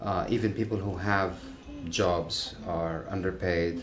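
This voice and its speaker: Ordinary pitch variation with audible room echo. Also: man. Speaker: protester. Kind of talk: interview. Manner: hesitant, many fillers.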